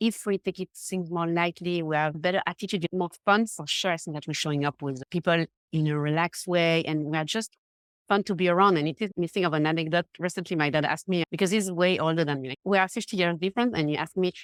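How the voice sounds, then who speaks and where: A woman talks very fast with fairly even intonation, recorded in a dry, close space with no echo. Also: fairly low pitch for a woman, very clean recording, silent background. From Switzerland, Geneva. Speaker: confidence coach. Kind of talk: podcast interview.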